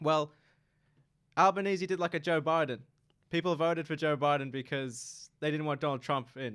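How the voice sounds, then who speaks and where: Over a silent background in a very clean recording, a man with an Australian accent and a fairly high pitch talks at a moderate pace with ordinary pitch variation and long, frequent pauses. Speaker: university student. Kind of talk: casual chat. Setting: radio studio.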